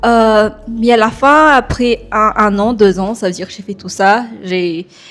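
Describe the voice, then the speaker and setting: Very slow speech from a woman, fairly high in pitch, with ordinary pitch variation and big swings in loudness. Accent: slight non-native. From Madagascar. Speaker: software developer. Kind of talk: podcast interview. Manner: hesitant, many fillers.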